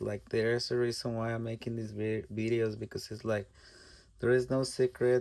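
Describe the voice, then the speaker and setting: Speaking in a Spanish accent, a man keeps a fairly slow pace, a medium pitch and monotone, flat intonation. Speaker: artist. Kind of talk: tutorial. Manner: halting.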